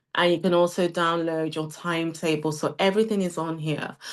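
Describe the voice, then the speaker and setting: A woman with a British accent speaks at a moderate pace in a fairly low pitch. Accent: UK. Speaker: CEO of a training academy presenting a webinar. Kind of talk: sales pitch webinar. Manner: animated.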